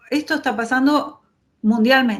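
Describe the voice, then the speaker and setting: A woman keeps a moderate pace, her voice carrying audible room echo. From Argentina. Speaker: urban designer. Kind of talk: lecture. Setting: video call.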